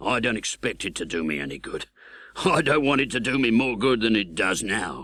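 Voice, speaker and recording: Putting on a raspy character voice, a man speaks fairly quickly at a medium pitch with very wide pitch swings. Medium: read story. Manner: rough, blunt, uneducated speech.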